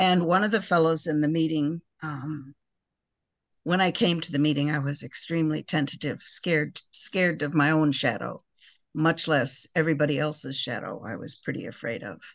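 This woman has a very deep, low pitch and an American accent. Her pitch variation is ordinary. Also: moderate pace. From US Midwest. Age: 70s. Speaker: person in recovery. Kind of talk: casual chat.

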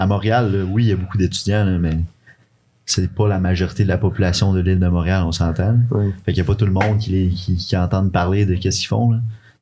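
This man's voice is fairly low in pitch, somewhat breathy, and dark and mellow in tone. He talks at a fairly quick pace with fairly even intonation. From Quebec City. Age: 20s. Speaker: university soccer player. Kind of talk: casual chat.

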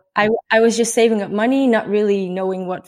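A woman speaks in a Dutch accent at a moderate pace. Her medium-pitched voice is monotone and flat. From Netherlands. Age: 20s. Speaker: traveller and blogger. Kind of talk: casual interview.

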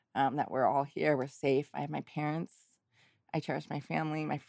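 In a very clean recording with a silent background, a woman speaks at a very deep, low pitch with vocal fry. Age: 40s. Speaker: restaurant manager and nonprofit founder, parent of a sick child. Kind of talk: interview.

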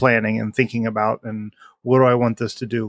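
This man has an ordinary speaking voice, medium in pitch, with fairly even intonation. The recording is very clean against a silent background. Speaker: podcast co-host. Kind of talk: casual chat. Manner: joking.

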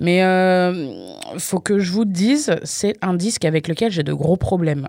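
In a dark, mellow tone, a woman speaks at a very slow pace and fairly low pitch with lively intonation. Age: 30s. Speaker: radio host. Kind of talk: music radio show presenting. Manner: casual, chatty.

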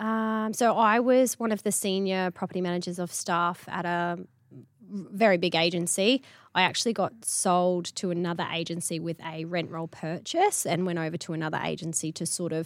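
With a fairly low pitch and an Australian accent, a woman speaks in a very clean recording against a silent background. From Queensland, Australia (Charters Towers). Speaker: real estate agency principal. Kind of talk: interview.

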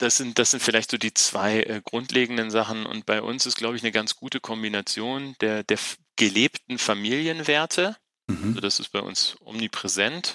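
A man's bright, sharp voice at a moderate pace, with ordinary pitch variation. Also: medium pitch for a man. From northern Germany (Wolfenbüttel). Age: 40s. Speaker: business executive. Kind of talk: interview. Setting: video call.

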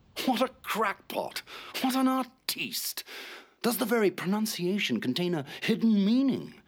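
A man performs a put-on character voice at a high pitch. Big pitch swings mark his fairly slow delivery.

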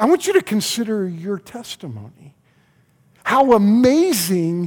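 A man speaks with an American accent and very wide pitch swings. The recording is very clean, with a silent background. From US South, Oklahoma City. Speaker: pastor. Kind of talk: sermon. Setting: church. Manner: repetitive, halting starts.

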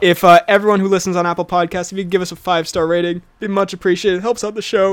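In a raspy, put-on character voice, the speaker rattles along at a very fast pace and a middle pitch. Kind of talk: YouTuber-style pitch. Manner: upbeat, promotional.

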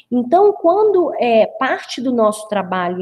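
A woman with a high pitch speaks at a fairly slow pace, her voice making very wide pitch swings. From Brazil, interior of the state (Rio de Janeiro/Minas border area). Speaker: business consultant. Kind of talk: webinar presentation.

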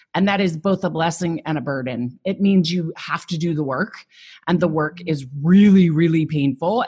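Against a quiet background, a woman speaks with a fairly low pitch, a dark, mellow tone, and a somewhat breathy quality. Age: 40s. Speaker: psychotherapist turned coach. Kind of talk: podcast interview.

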